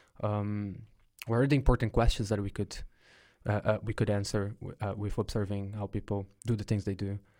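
Speaking with a Brazilian accent, a man keeps a fairly low pitch and a moderate pace in a monotone, flat delivery. The recording is very clean, with a silent background. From São Paulo, Brazil. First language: Portuguese. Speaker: podcast host, researcher. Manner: hesitant, filler-heavy.

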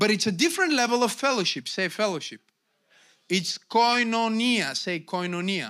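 A man in a Bulgarian accent, raised and projected, high-pitched, with a bright, sharp tone, lively intonation and a moderate pace. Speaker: pastor. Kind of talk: sermon. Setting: church. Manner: animated.

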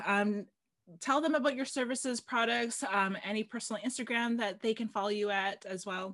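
A woman speaks at a fairly quick pace. She has a normal speaking voice, pitched fairly high. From Canada, Filipino family. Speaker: podcast host. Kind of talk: casual interview chat.

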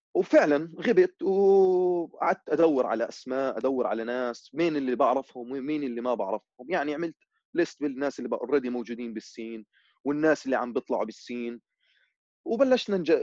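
A man has a normal speaking voice with a fairly high pitch and ordinary pitch variation. He goes at a moderate pace, and the sound is dry and close with no echo. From Amman, Jordan. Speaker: musician and music producer. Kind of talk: casual chat.

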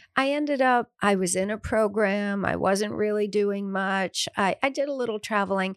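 In a very clean recording with a silent background and a dry, close sound with no echo, a woman speaks in a plain, everyday voice at medium pitch, with ordinary pitch variation, a moderate pace and hardly any pauses. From US Midwest, suburban Detroit. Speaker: author and hotel owner. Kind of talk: interview.

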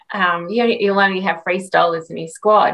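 A woman's medium-pitched voice with an Australian accent, bright and sharp in tone, with fairly even intonation at a moderate pace. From Australia, Redcliffe, Queensland. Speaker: retired Olympic swimmer. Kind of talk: interview.

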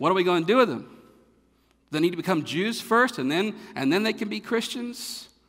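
With a North Carolina accent, a man talks at a moderate pace with lively intonation. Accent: Southern American (North Carolina). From North Carolina, US South. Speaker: pastor. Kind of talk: sermon. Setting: church.

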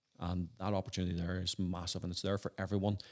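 The speaker has a Northern Irish accent and talks at a very fast pace. The sound is dry and close, with no echo. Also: man. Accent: Northern Irish (Belfast). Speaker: entrepreneur and former lawyer. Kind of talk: interview. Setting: at home.

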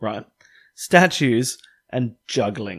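A man with an Australian accent speaks at a very slow pace, his pitch swinging very widely. The recording is very clean, with a silent background. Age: 20s. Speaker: podcast co-host. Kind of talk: casual chat.

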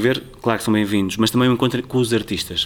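Intonation stays fairly even as a man talks. His pitch is medium. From Portugal, Tomar area (Ribatejo). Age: young. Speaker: cultural programmer. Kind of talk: interview. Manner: halting.

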